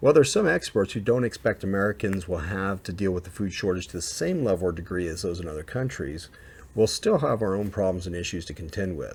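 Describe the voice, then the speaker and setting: Somewhat breathy, a man speaks at a very fast pace with ordinary pitch variation on a very clean recording with a silent background. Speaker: survival and prepping video creator. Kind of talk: informational video talk.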